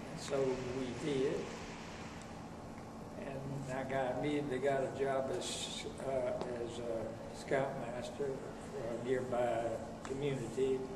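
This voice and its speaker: Loud background noise surrounds a man speaking at a fairly slow pace. He leaves long, frequent pauses. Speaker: former Scout executive. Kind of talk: interview answer. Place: meeting room.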